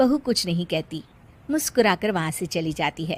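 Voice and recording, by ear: With lively intonation, a woman speaks at a moderate pace in a fairly low voice.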